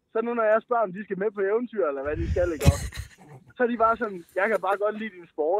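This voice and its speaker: A man's high-pitched voice at a very fast pace, with ordinary pitch variation, big swings in loudness, a dry sound with no echo and light background noise. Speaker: caller; podcast guest. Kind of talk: casual chat. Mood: laughing, playful. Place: studio. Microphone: studio mic.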